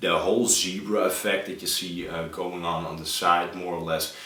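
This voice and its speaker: Over noticeable background noise and audible room echo, a man speaks at a moderate pace in a very deep, low pitch. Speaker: RC model builder. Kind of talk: tutorial. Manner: hesitant, many filler uhs.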